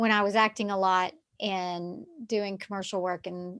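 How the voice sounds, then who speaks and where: The woman's intonation stays fairly even. Her recording is very clean and the background silent. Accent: Southern US. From US South, Texarkana. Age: 50s. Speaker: yoga therapist. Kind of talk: casual chat.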